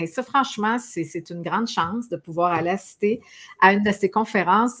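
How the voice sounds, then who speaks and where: A woman speaks with a Quebec accent at medium pitch. Her pace is fairly quick and her pitch variation ordinary. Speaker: talk show host. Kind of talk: interview. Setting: live stream.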